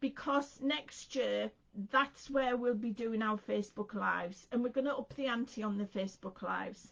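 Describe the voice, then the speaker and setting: With an English accent, a woman speaks at a moderate pace, her fairly high pitch showing ordinary variation. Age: 60s. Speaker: craft presenter. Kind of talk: casual chat. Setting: live stream.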